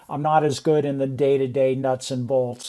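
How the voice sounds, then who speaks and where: Here a man speaks in a normal speaking voice at a medium pitch. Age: 60s. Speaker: real estate investor. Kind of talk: casual interview.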